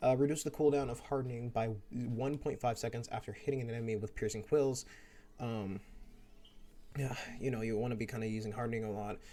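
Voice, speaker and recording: The speaker mumbles at a very fast pace in a dark, mellow tone. Long, frequent pauses break up the fairly even intonation. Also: man, medium pitch for a man. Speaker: gaming youtuber. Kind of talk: gameplay commentary. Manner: mumbling; stuttering.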